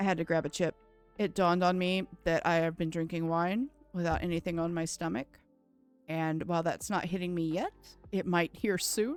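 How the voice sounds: With music in the background, a woman with an American accent talks at a moderate pace, her fairly low pitch held in fairly even intonation.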